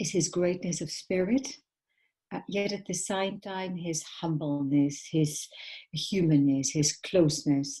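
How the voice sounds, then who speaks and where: Over a quiet background, a woman speaks at a fairly slow pace with fairly low pitch, ordinary pitch variation, and a somewhat breathy voice. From Netherlands. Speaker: documentary filmmaker. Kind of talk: panel talk. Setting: live stream. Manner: halting.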